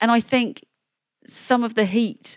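A woman with an English accent, in a very clean recording against a silent background, dry and close with no echo. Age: 40s. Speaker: journalist and author. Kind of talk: interview.

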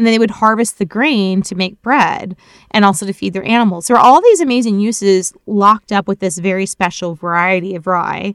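A woman with an American accent has an ordinary speaking voice at a medium pitch with ordinary pitch variation, talking at a fairly quick pace with hardly any pauses in a dry, close sound with no echo. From Florida. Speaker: ethnobotanist. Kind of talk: casual interview. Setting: remote recording.

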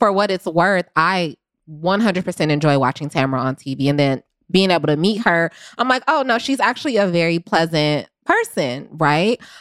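In a dry, close recording that is very clean with a silent background, a woman with an unremarkable speaking voice talks at a moderate pace, her fairly low pitch carrying lively intonation. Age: 20s. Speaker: podcast producer. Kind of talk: casual chat.

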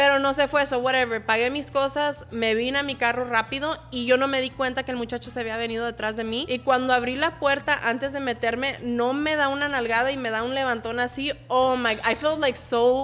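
Speaking at a very fast pace with hardly any pauses, the voice has a monotone, flat intonation and an American accent. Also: woman, high pitch for a woman. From Los Angeles, San Fernando Valley. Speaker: social media influencer. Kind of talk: casual chat.

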